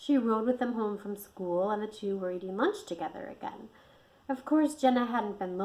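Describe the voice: The passage is given as plain reading aloud.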